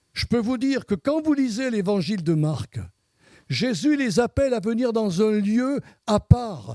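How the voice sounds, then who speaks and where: A man's high-pitched voice with a dark, mellow tone and lively intonation at a fairly slow pace, in a dry, close sound with no echo. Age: 70s. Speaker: pastor. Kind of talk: sermon. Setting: church service with congregation. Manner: halting with repetitions.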